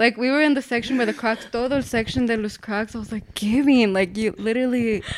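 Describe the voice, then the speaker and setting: Speaking at a very fast pace, a woman takes hardly any pauses. Her fairly high pitch carries fairly even intonation. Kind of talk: casual chat.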